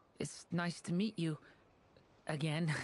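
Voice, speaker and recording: A put-on character voice at middle pitch, delivered in a gentle tone. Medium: video game. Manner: gentle, hesitant.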